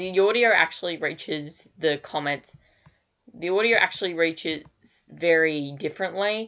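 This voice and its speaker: Bright and sharp in tone, a woman speaks with an Australian accent at a moderate pace. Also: ordinary pitch variation. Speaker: digital artist streamer. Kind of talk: casual live stream chat. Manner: halting.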